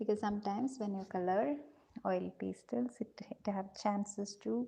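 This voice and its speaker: A soft-spoken, somewhat breathy woman with a dark, mellow tone, lively intonation and a moderate pace. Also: medium pitch for a woman. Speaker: art teacher for kids. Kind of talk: live drawing tutorial. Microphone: too quiet.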